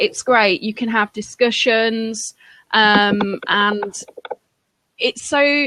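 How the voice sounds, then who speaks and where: A strong Lincolnshire accent comes with fairly even intonation. The recording is very clean with a silent background and a dry, close sound with no echo. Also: woman. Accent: heavy Lincolnshire. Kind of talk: casual chat.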